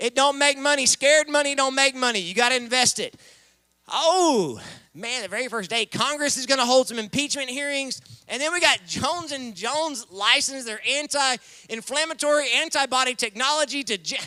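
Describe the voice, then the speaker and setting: A man with an American accent speaks at an extremely high pitch in a raised, projected voice. His tone is animated, and the sound is dry and close with no echo. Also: ordinary pitch variation, moderate pace. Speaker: event emcee. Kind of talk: live commentary. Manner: loud.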